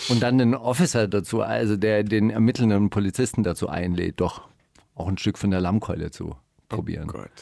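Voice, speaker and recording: In a dark, mellow tone, a man talks at a fairly quick pace with fairly low pitch and ordinary pitch variation. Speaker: radio host. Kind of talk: casual chat. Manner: animated.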